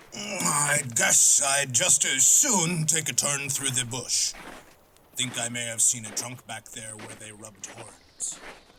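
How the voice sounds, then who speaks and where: A man puts on a character voice at a medium pitch, speaking at a fairly slow pace. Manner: terse.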